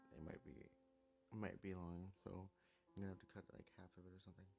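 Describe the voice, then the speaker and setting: Long, frequent pauses and fairly even intonation, with music in the background. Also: man. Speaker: gaming video creator. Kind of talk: casual gameplay commentary.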